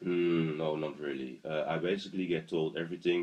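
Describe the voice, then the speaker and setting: Speaking at a fairly quick pace with an even intonation, a man with a Dutch accent has a very deep, low voice. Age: 20s. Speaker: asthma patient interviewee. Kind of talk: interview. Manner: halting.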